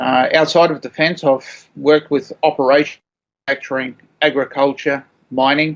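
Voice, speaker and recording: This man has a fairly high pitch. He speaks at a moderate pace with fairly even intonation. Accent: Australian. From Australia. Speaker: supply chain professional, army veteran. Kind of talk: interview answer. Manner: hesitant, many fillers.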